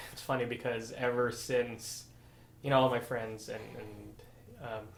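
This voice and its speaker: In a Filipino American accent, a man talks at a fairly slow pace with medium pitch. His intonation is monotone and flat, and room echo can be heard. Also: big swings in loudness. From Philippines, Negros Occidental (moved to US at 14-15). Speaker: physical therapist. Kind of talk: interview.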